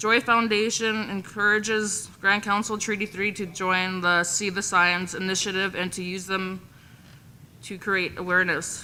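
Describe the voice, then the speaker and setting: A woman's bright, sharp voice holds a flat, monotone intonation. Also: medium pitch for a woman. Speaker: women's council presenter. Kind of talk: reading aloud a report. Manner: fast.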